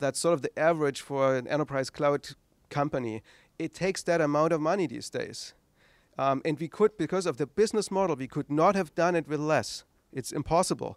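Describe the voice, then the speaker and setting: A man with a German accent at a fairly high pitch and fairly quick pace, on a very clean recording with a silent background and a dry, close sound with no echo. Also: ordinary pitch variation. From East Germany. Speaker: tech entrepreneur, founder. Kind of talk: lecture. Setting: stage with audience.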